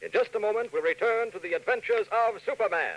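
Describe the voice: A man's high-pitched, fairly bright voice with lively intonation at a fairly quick pace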